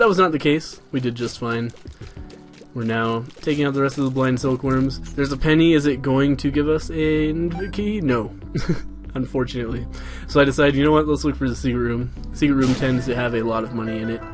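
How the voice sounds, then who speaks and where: A man's voice sits at a medium pitch with ordinary pitch variation. Music can be heard in the background. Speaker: let's play commentator. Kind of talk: video game post commentary. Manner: casual.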